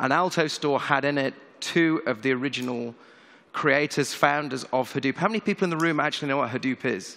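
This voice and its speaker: His tone bright and sharp, a man talks at a fairly quick pace with a fairly high pitch. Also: ordinary pitch variation. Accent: British. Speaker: tech company CEO. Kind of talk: conference keynote. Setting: stage with audience.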